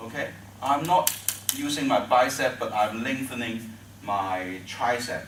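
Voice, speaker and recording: Noticeable background noise and audible room echo surround a man with a Chinese accent who speaks at a fairly slow pace. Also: medium pitch for a man, ordinary pitch variation. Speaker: tai chi teacher. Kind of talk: tutorial. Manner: halting.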